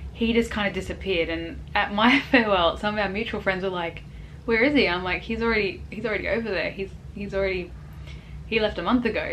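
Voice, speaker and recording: Against noticeable background noise, a woman speaks very fast with fairly even intonation. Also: medium pitch for a woman. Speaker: expat vlogger. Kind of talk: casual talk to camera. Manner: hesitant, rambling.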